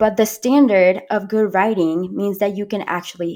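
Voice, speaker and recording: In a Spanish accent, a woman speaks at a moderate pace with fairly even intonation on a very clean recording with a silent background. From Panama. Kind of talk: interview storytelling. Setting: podcast.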